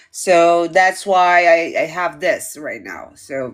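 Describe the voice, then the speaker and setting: A woman talks at a fairly low pitch and a very slow pace. The recording is very clean, with a silent background. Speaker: tarot teacher. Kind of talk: live lesson chat.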